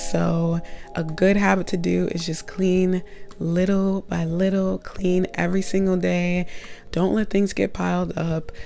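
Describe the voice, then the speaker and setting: A woman talks at a fairly slow pace. Behind her, music plays. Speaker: college student. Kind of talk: casual talk to camera. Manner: chatty, upbeat.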